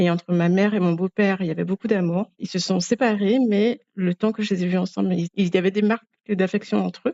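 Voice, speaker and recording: Speaking with an Antillean accent, a woman uses a medium pitch and fairly even intonation. She goes at a fairly quick pace. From Guadeloupe, French Antilles. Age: 30s. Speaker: podcast guest. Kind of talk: personal interview testimony. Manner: hesitant, with frequent fillers.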